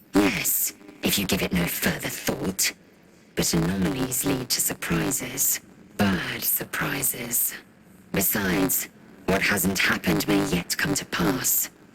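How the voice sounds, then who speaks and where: A man does a put-on character voice at a fairly low pitch and a fairly slow pace. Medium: video game. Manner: blunt, clipped, superior.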